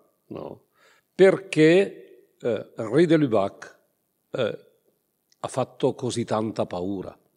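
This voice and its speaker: A man with an Italian accent, very slow with long, frequent pauses, fairly high in pitch with very wide swings, a dark, mellow tone, and big swings in loudness. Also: quiet background. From northern Italy, Brescia province. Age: 60s. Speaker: priest and theology professor. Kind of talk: lecture. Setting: conference hall with audience. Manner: halting. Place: hall. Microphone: podium.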